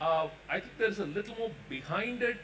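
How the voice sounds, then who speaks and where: A man's voice over noticeable background noise. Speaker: doctor panelist. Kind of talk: panel discussion. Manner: loud.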